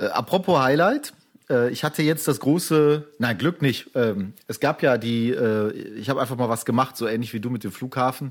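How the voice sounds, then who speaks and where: An ordinary speaking voice, a man at medium pitch with ordinary pitch variation and a moderate pace. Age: 40s. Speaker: podcast co-host, photographer. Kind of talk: casual chat.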